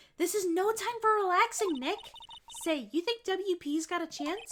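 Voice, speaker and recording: This female-sounding, put-on character voice is squeaky and extremely high. The tone is energetic, at a moderate pace. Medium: game stream. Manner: bright, energetic.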